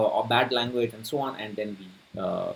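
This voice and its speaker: A man speaks with a Tamil Indian accent in a somewhat breathy voice. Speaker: personal finance youtuber. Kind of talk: casual talk to camera. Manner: halting, many fillers.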